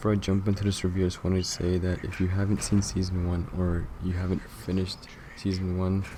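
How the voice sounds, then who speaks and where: A man's very deep, low voice, dark and mellow in tone, somewhat breathy, at a very fast pace with very even loudness and fairly even intonation. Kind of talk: TV series review to camera. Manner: monotone.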